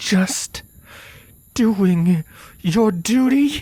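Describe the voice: At a very slow pace, a man puts on a character voice that is high for a man, with a dark, mellow tone and a slightly husky edge. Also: lively intonation.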